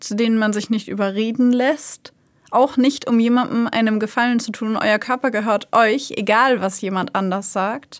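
Talking at a moderate pace, a woman with an unremarkable speaking voice keeps a fairly high pitch and fairly even intonation. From Germany, Hanover. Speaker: true crime podcast host. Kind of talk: casual chat.

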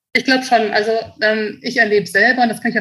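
A woman talks at a fairly quick pace in a bright, sharp tone. Her pitch is fairly high, with ordinary variation. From Germany, Münster. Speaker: company managing director. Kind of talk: interview.

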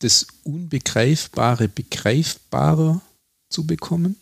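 A very slow, somewhat breathy man at a fairly high pitch with ordinary pitch variation, dry and close with no echo. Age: 40s. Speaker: museum director and podcast host. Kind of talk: interview.

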